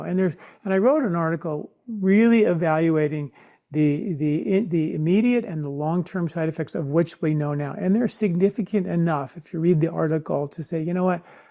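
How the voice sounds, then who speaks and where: Against a quiet background, a man's dark, mellow tone sits at a high pitch. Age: 60s. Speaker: Ayurvedic health expert and author. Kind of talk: interview conversation. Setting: podcast interview.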